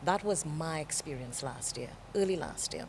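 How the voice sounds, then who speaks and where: A woman with a Caribbean accent speaks at a moderate pace in a calm, fairly low voice. Her intonation is lively. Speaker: TV presenter. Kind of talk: interview.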